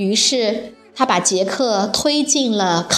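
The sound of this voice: The speaker reads in an unforced reading voice. The intonation is lively.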